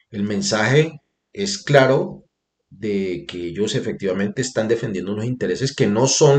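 A man is speaking. Vocal fry runs through his voice. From northern Cauca, Colombia. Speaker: independent video columnist and political commentator. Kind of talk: opinion video column, political commentary; angry rant around 15:48. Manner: indignant, scornful and accusatory in the rant, sharp and sarcastic; formal, polite, addresses audience courteously.

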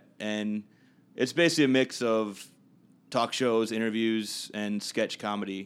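A man with an American accent has a plain, everyday voice at fairly low pitch, with fairly even intonation. He speaks at a moderate pace in a very clean recording with a silent background. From Minnesota, Minneapolis area. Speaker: local dance party host and performer. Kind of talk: casual interview. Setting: apartment, informal recording.

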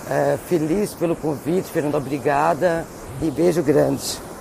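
Amid noticeable background noise, a woman speaks in a very deep, low voice. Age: 50s. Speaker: vocational educator. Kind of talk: recorded testimony.

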